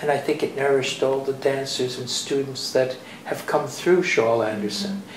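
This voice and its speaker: Amid noticeable background noise and audible room echo, a man with a fairly high voice talks at a moderate pace with ordinary pitch variation. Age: 80s+. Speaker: dancer and dance teacher. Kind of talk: interview. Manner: halting.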